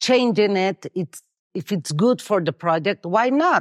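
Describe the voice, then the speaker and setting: Someone with a Mexican accent speaks against a quiet background, using ordinary pitch variation. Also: woman. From Mexico City. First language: Spanish. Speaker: interior designer. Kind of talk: interview. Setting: on location at a property. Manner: halting.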